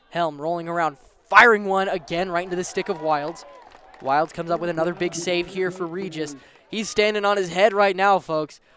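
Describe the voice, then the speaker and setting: Against noticeable background noise, a man with a high pitch talks at a fairly quick pace and fairly even intonation. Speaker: sports play-by-play announcer. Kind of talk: live commentary. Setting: outdoor stadium broadcast. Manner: fast.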